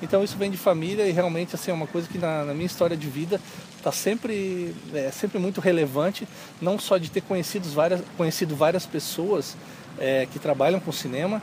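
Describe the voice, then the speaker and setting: Against noticeable background noise, a man speaks at a fairly quick pace with a high pitch and ordinary pitch variation. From southern Brazil, Lages (Santa Catarina). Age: 30s. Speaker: filmmaker and media teacher. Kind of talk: interview.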